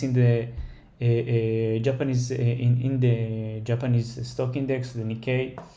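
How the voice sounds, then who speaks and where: A man speaks at a fairly slow pace in a dark, mellow tone with monotone, flat intonation, and audible room echo fills the space around him. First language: not English. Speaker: stock trader, market analysis creator. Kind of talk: tutorial. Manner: halting, many fillers.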